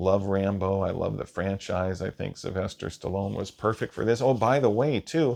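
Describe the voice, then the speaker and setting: Speaking with an American accent, a man at a fairly low pitch keeps a moderate pace with hardly any pauses and ordinary pitch variation. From Washington State, US. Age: 40s. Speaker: movie reviewer. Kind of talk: solo movie review monologue. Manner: casual, hesitant with fillers.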